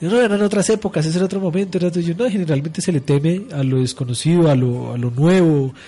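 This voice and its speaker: Pitched fairly high, a man speaks at a fairly quick pace in a dark, mellow tone with ordinary pitch variation. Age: 30s. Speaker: radio host. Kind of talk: radio talk show on religion.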